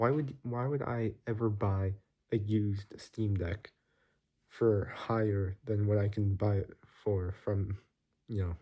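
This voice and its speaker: A man speaks at a fairly slow pace with long, frequent pauses and fairly even intonation. His tone is somewhat breathy, dark and mellow, on a very clean recording with a silent background. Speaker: vlogger. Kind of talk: casual vlog monologue. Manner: casual, filler-heavy.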